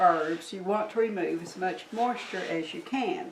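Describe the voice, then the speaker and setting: A woman talks at a fairly slow pace with lively intonation. There is audible room echo and noticeable background noise. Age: 60s. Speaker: herbalist teacher. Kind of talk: tutorial. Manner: casual, hesitant with fillers.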